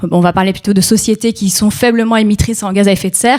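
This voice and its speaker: Speaking at a very fast pace, a woman keeps a medium pitch with monotone, flat intonation. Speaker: NGO policy officer on food sovereignty and climate. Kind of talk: panel talk. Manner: hesitant, many fillers.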